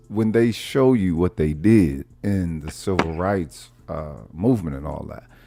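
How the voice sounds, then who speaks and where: Lively intonation and a dark, mellow tone mark this man's fairly slow delivery. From Oklahoma, North Tulsa. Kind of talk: heated debate. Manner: clear, enunciated speech.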